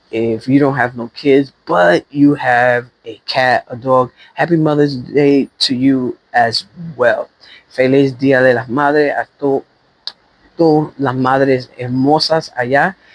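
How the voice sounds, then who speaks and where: A man speaks at a fairly slow pace with medium pitch and fairly even intonation. The sound is dry and close, with no echo. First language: Spanish. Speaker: expat vlogger. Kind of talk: walking vlog. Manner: casual, hesitant with fillers.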